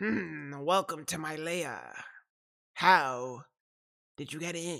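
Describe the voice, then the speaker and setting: A put-on character voice at middle pitch delivers the words at a very slow pace. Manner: sinister, theatrical.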